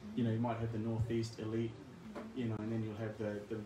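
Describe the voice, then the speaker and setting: Noticeable background noise and audible room echo surround a man speaking with a New Zealand accent. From New Zealand, Christchurch. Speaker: scholar, guest speaker. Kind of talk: talk Q&A. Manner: halting, many fillers.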